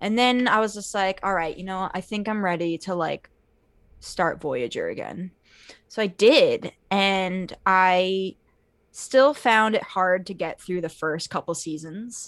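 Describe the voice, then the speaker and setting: A woman with a normal speaking voice talks at medium pitch, a fairly slow pace and ordinary pitch variation. The recording is very clean with a silent background. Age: 20s. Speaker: podcast guest, Star Trek fan. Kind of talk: casual chat.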